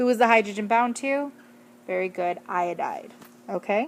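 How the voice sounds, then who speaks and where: Her tone animated, a woman speaks at a fairly high pitch. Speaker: teacher. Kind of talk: lecture. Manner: fast.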